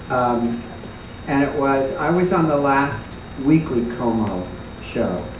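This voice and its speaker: A very slow male voice with ordinary pitch variation, audible room echo and noticeable background noise. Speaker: former dancer on a panel. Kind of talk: reminiscing panel talk. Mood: warm nostalgic storytelling. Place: stage.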